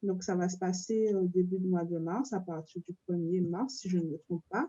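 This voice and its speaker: Her voice has a dark, mellow tone and medium pitch, with ordinary pitch variation, as the woman is heard in a dry, close sound with no echo. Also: moderate pace. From French overseas territory. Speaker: artist. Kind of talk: interview.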